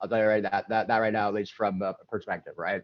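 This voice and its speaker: Speaking at a very fast pace, a man has a fairly low pitch. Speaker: streaming developer. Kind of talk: panel discussion.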